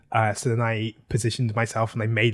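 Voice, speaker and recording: This man's medium-pitched voice comes across somewhat breathy. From South London, England. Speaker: comedy writer and director. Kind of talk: casual interview chat. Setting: video call. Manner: halting, many fillers.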